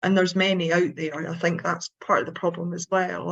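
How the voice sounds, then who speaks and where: Here is a woman at a medium pitch. Her intonation is fairly even. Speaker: suicide prevention trainer, speaker. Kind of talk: panel discussion on webinar.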